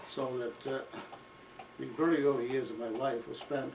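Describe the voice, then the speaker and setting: The speech moves at a moderate pace with fairly even intonation, while noticeable background noise and audible room echo fill the recording. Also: man. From Maine, Portland. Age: 80s+. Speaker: antiquarian book dealer. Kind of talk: oral history interview. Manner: halting, with frequent hesitations.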